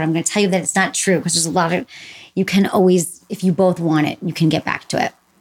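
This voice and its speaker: A woman speaks in a normal speaking voice with an American accent. Her pitch is fairly low and her intonation fairly even. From Michigan. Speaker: sex therapist and podcast host. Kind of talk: casual interview chat.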